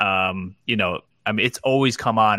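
In a very clean recording with a silent background, a man with a New Jersey accent talks in a bright, sharp tone with lively intonation. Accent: New Jersey American. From New Jersey (Clifton). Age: 40s. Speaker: entrepreneur, digital designer. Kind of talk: casual interview.

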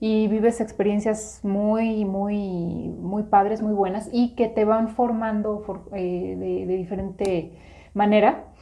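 Monotone, flat intonation runs through this woman's speech. Her words come at a very slow pace. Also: medium pitch for a woman. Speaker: podcast co-host, business coach. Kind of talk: casual chat.

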